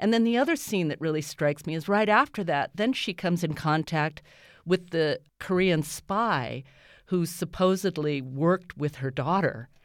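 In a very clean recording with a silent background, a woman with an American accent and a plain, everyday voice speaks at a moderate pace, her fairly low pitch moving in lively intonation. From US, Japanese American. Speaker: stage actor. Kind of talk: radio interview. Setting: radio studio.

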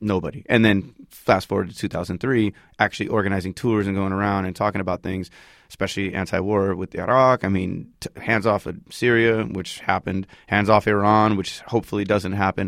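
A man with an American accent uses a normal speaking voice with fairly low pitch, talking at a fairly quick pace with fairly even intonation. The recording is very clean, with a silent background and a dry, close sound with no echo. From United States, Palestinian family. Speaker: hip-hop artist. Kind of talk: casual interview. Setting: studio. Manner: casual, laid-back with frequent fillers.

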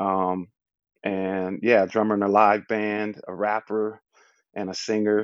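With an American accent, the speaker goes at a fairly slow pace in a monotone, flat intonation. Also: man. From Southern California and Louisiana. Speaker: rapper and beatboxer. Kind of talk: casual chat.

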